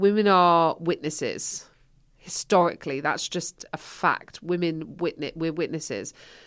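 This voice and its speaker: A woman with an English accent at a fairly slow pace, fairly low in pitch with fairly even intonation, on a very clean recording with a silent background. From England. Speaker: stand-up comedian. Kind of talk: casual chat.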